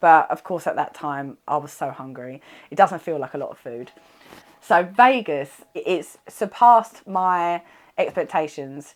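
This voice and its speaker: A woman's animated voice with a British accent, fairly low in pitch, at a fairly slow pace, with lively intonation and big swings in loudness. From UK. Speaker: wellness bodybuilder and vlogger. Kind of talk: casual vlog recap.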